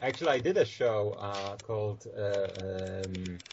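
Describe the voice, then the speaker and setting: A man speaks with a Polish accent. Noticeable background noise sits behind him. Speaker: actor. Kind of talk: casual chat. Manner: halting, many fillers.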